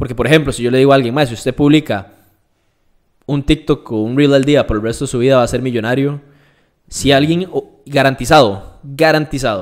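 A man with a Costa Rican accent speaks at a fairly quick pace with long, frequent pauses, his pitch medium and its variation ordinary. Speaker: fitness and nutrition influencer. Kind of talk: casual interview.

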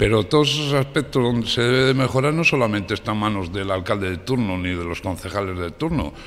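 Very fast, lively male speech with a fairly low pitch and hardly any pauses. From Cantabria, Spain. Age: 50s. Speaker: mayor and local candidate; mayor, candidate. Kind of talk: radio interview. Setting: radio studio, live. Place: studio.

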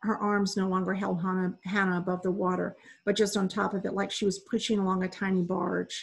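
A passage is being read aloud. The voice doing it sounds natural.

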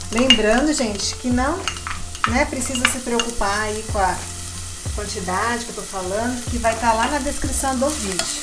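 A woman speaks at a moderate pace with long, frequent pauses. Loud background noise runs behind her. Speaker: home cook host. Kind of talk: cooking tutorial. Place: kitchen.

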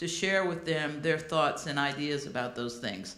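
There is audible room echo around a woman's voice. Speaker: event moderator welcoming audience. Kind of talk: welcome speech. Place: hall. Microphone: podium.

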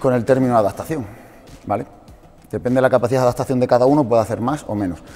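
A man speaks at a very fast pace with ordinary pitch variation while faint music plays in the background. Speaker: fitness coach. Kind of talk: lecture to a small audience. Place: gym.

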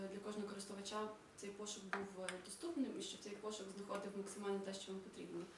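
The speech goes at a fairly quick pace with fairly even intonation, with noticeable background noise and audible room echo around it. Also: woman. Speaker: project coordinator. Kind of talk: project presentation. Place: hall.

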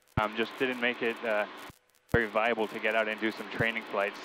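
The speaker talks at a moderate pace in a monotone, flat intonation, with noticeable background noise and a dry sound with no echo. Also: man. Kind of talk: casual vlog chat. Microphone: headset.

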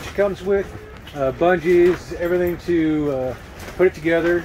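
Noticeable background noise surrounds a man whose voice is high in pitch. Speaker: camping channel host. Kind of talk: casual product review vlog. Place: tent. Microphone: phone near.

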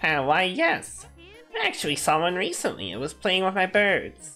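A man's high-pitched, put-on character voice over faint music in the background. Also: moderate pace, ordinary pitch variation. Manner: acted, unsure granny voice.

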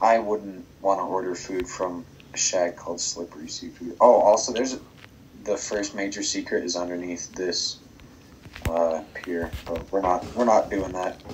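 The man's pitch is fairly low. He speaks at a fairly slow pace. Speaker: Minecraft world builder showing his theme park. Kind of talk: casual gaming tour chat, with a mock carnival barker pitch around 6:52. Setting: recorded gameplay voiceover. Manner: animated, sing-song barker patter with repeated 'step right up' calls; playful, joking.

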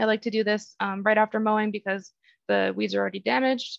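Against a quiet background, a woman with an American accent talks at a fairly quick pace, the sound dry with no echo. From Texas. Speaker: lawn care advisor, horticulturist; presenter. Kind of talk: educational webinar. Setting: online webinar. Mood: calm, helpful. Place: home room. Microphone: webcam.

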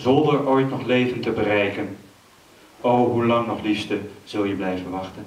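At a moderate pace, a man speaks with ordinary pitch variation and audible room echo. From Amsterdam. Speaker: poet. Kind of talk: poetry reading. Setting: stage with audience. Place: stage.

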